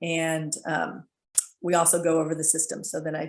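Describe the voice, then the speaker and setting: Over a quiet background, a woman with an American accent speaks at a fairly low pitch with vocal fry. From US East Coast. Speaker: fertility awareness instructor. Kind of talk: presentation. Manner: fast; chatty.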